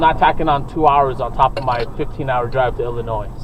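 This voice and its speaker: Through noticeable background noise, a man with an American accent talks at a fairly high pitch with ordinary pitch variation. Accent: Brooklyn accent, toned down. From New York City, Brooklyn. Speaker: podcast co-host. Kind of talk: casual chat. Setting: in a car.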